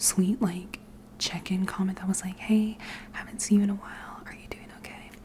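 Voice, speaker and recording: A woman whispering. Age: 20s. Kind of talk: ASMR rambling to camera. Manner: whispered, soft-spoken.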